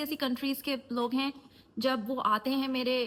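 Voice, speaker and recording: A woman's high voice amid noticeable background noise. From USA. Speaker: life coach and YouTuber. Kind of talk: casual talk to camera.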